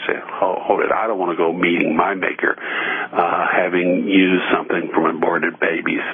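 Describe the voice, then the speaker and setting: A man with an American accent talks at a moderate pace with hardly any pauses, over noticeable background noise. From US Midwest, Evansville, Indiana. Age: 60s. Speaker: radio host. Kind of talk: radio talk monologue. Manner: frequent filler words and hesitations.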